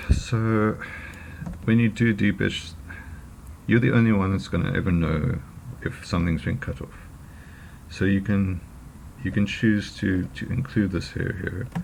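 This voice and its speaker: Noticeable background noise sits behind a man with a fairly low voice and ordinary pitch variation. He talks at a fairly slow pace with long, frequent pauses. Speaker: photo retoucher making tutorials. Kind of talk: tutorial. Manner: halting, many fillers. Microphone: poor audio quality.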